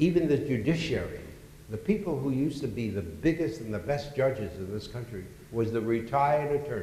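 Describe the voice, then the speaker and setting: A man speaks at a fairly quick pace in a medium pitch with lively intonation, and the room echo is audible. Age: 80s+. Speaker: real estate executive. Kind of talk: onstage interview. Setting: conference stage with audience. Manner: halting.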